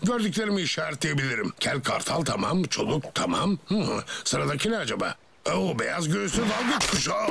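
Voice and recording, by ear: In a cartoonish character voice, a man speaks at a fairly quick pace with a fairly high pitch, big pitch swings, a bright, sharp tone, a husky, rough edge and vocal fry. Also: few pauses.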